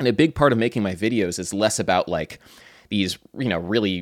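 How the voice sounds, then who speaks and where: A man in a normal speaking voice talks at a fairly quick pace and a fairly low pitch with ordinary pitch variation, the sound dry and close with no echo on a very clean recording with a silent background. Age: 20s. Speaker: musician and YouTuber. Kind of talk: casual chat.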